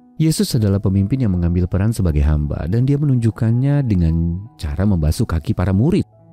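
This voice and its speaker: A man with a fairly low pitch talks at a very fast pace with lively intonation. The sound is dry with no echo, and music plays in the background. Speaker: devotional narrator. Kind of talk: devotional reading.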